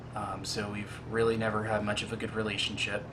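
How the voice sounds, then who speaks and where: A man's fairly low, monotone, flat voice amid noticeable background noise and audible room echo. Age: 20s. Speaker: casting applicant, realtor and college student. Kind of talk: casting video self-introduction. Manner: halting, many fillers.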